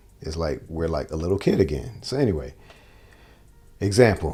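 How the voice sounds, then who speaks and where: A man speaks with music in the background. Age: 40s. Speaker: guitar teacher. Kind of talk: casual monologue. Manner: animated.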